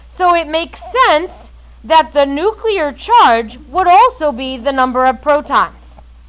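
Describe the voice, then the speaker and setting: With noticeable background noise behind her, a woman talks at a fairly slow pace and a high pitch, her voice making very wide pitch swings. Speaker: chemistry teacher. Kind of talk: classroom lecture. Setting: classroom with students. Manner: loud.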